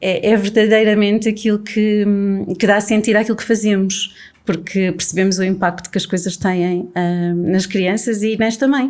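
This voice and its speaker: On a very clean recording with a silent background, a woman with an ordinary speaking voice talks at a moderate pace, her medium pitch held in fairly even intonation. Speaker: podcast host. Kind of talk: casual conversation.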